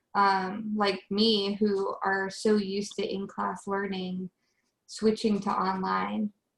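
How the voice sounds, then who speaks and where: Somewhat breathy, the voice moves at a very slow pace in a monotone, flat delivery. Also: woman, medium pitch for a woman. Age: 20s. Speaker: college student, meeting leader. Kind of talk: online group discussion.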